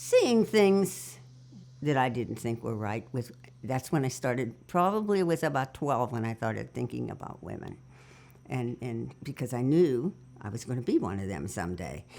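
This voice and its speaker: With an American accent and vocal fry, a woman speaks at a very deep, low pitch that swings very widely. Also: moderate pace. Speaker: oral history interviewee. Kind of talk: oral history interview. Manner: halting.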